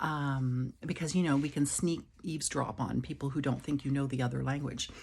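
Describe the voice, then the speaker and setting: Somewhat breathy, a woman with a very deep, low pitch speaks at a fairly quick pace with fairly even intonation. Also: very even loudness. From Quebec. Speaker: vlogger with chronic illness. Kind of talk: casual vlog monologue. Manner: hesitant, many fillers.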